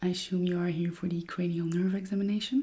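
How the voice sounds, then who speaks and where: At a moderate tempo, the voice stays soft-spoken throughout. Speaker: ASMR artist. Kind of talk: ASMR roleplay. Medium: role play.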